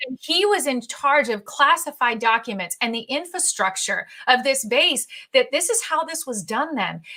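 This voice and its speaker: A woman with a high pitch and a bright, sharp tone speaks in a raised, projected voice at a moderate pace, her pitch swinging very widely. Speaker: interviewer and host; national anthem singer. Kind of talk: interview questions and talk to camera.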